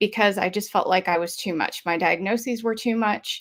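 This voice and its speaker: A woman with a Southern US accent speaks with ordinary pitch variation in a very clean recording with a silent background. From US South (Georgia). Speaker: mental health advocate. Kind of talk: message of hope, testimony.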